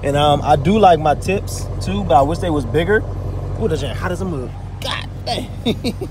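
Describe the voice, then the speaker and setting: Over noticeable background noise, a man at a fairly high pitch speaks at a moderate pace with very wide pitch swings, the sound dry with no echo. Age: 20s. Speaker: car vlogger. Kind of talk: casual vlog. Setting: in a car. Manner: animated. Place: street. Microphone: phone near.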